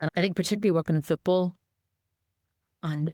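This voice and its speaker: A woman with a strong Northern Irish accent speaks very fast, her intonation fairly even. The sound is dry and close with no echo, on a very clean recording with a silent background. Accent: Northern Irish, kept strong. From Northern Ireland. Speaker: charity chief executive, former anti-discrimination campaigner. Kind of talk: podcast interview.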